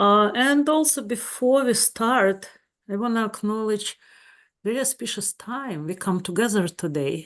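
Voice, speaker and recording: A woman with a Russian accent, her pitch fairly high and intonation lively, at a fairly slow pace against a quiet background. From Ukraine. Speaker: psychedelic integration therapist. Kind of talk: webinar talk.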